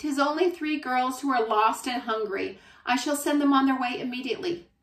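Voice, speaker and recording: Putting on a character voice, a woman talks at a fairly quick pace with a high pitch. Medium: read story. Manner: gruff, curt.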